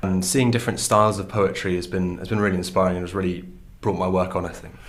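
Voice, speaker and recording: Words come out at a very fast pace from a man. His voice carries audible room echo. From northern England, County Durham. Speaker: student poet. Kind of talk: interview.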